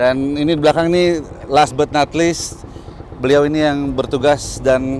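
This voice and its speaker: A man at a moderate pace, with fairly even intonation and light background noise. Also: dry sound with no echo. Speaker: conservation program host. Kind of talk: casual vlog chat. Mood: warm, thankful. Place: waterside. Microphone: lapel.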